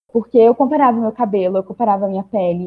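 The woman's voice is somewhat breathy, moving at a fairly quick pace with ordinary pitch variation. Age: young. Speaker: podcast panelist. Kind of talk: personal testimony.

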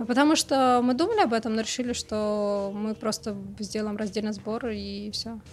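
Noticeable background noise sits behind a woman with a fairly high pitch. She keeps a moderate pace and fairly even intonation. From Moscow, Russia. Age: young. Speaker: coffee book editor and coordinator. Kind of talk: casual chat.

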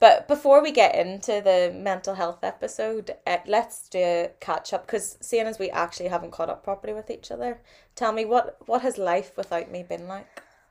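A woman speaks with a Northern Irish accent, her loudness swinging widely. The recording is very clean, with a silent background. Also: moderate pace. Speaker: podcast co-host. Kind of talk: casual chat.

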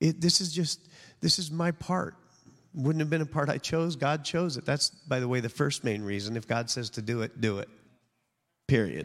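A man talks at a moderate pace with lively intonation and a fairly high pitch. His speech is broken by long, frequent pauses. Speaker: pastor. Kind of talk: sermon. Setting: church.

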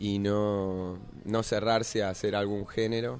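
Fairly low in pitch, a man speaks with a dark, mellow tone and fairly even intonation. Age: 30s. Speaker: actor and musician. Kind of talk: interview. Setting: radio studio cafe.

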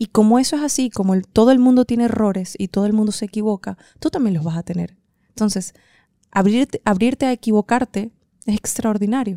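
Speaking at a fairly quick pace, a woman has a fairly high, dark and mellow voice with ordinary pitch variation, recorded dry and close with no echo. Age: 30s. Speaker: podcast host and writer. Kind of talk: motivational monologue. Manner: hesitant fillers.

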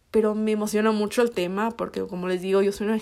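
A woman at a medium pitch races along at a very fast pace in a flat, monotone way. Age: 20s. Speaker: podcast host. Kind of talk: casual chat. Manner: hesitant, many fillers.

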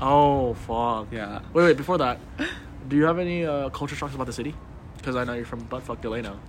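Amid noticeable background noise and audible room echo, a man with an American accent talks fairly quickly at medium pitch with ordinary pitch variation. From Los Angeles. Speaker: college student podcast co-host. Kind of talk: casual chat.

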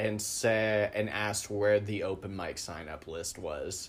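A man speaks with an American accent in a fairly low pitch. He has an unremarkable speaking voice and a fairly slow pace. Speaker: podcast host and comic. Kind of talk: casual interview chat.

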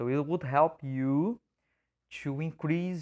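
In a Portuguese accent, a man speaks at a fairly slow pace with fairly even intonation, the sound dry and close with no echo against a quiet background. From Brazil. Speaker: English teacher. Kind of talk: educational podcast monologue. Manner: casual, frequent fillers.

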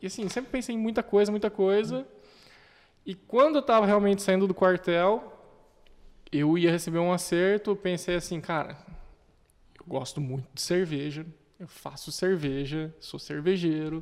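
A man talks at a moderate pace with a high pitch and ordinary pitch variation. His loudness swings widely, and he takes long, frequent pauses. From Brazil, Curitiba. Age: 20s. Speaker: entrepreneur, craft beer and restaurant owner. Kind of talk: casual chat.

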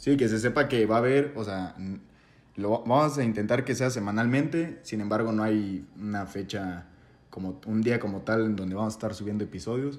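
A man speaks in an ordinary speaking voice, fairly low in pitch, at a moderate pace, his pitch varying in an ordinary way. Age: 20s. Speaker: podcast co-host. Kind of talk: casual chat.

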